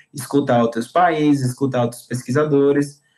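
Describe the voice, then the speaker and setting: Fairly even intonation in a medium-pitched male voice. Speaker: university student presenting their degree course. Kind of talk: informal talk to prospective students. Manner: fast, talkative.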